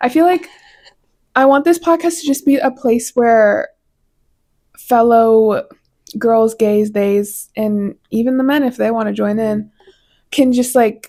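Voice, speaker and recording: A woman with an American accent speaks at a fairly slow pace, using long, frequent pauses. Her tone is dark and mellow. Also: fairly high pitch for a woman, ordinary pitch variation. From Colorado. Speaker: podcast host. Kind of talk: casual monologue.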